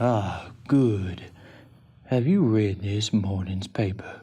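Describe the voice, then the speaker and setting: Putting on a character voice, a man delivers a calm, menacing tone at a very slow pace, his fairly low pitch showing ordinary variation. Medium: audio drama. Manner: calm, smooth, politely menacing.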